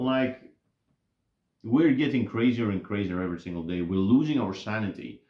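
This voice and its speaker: This man talks with a non-native accent. His tone is dark and mellow, with lively intonation. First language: not English. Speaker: YouTuber commentator. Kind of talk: casual monologue. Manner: halting, many fillers and restarts.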